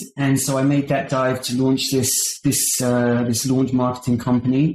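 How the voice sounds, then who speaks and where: Speaking with a British accent, a man at medium pitch delivers his words at a moderate pace in a dark, mellow, somewhat breathy tone. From United Kingdom, London area. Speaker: marketing agency founder. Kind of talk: podcast interview. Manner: halting, many repetitions and fillers.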